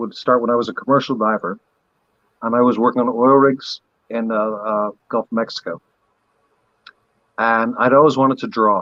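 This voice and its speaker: A man talks at a moderate pace with fairly even intonation and long, frequent pauses, in a dry, close sound with no echo. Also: medium pitch for a man. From Barbados, moved around many countries. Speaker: maker, former diver. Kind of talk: casual chat. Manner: halting, many fillers.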